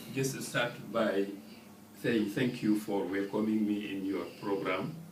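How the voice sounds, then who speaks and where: A man's fairly low voice at a very slow pace, broken by long, frequent pauses, in audible room echo. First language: French. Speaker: ambassador. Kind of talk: radio interview. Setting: studio. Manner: halting.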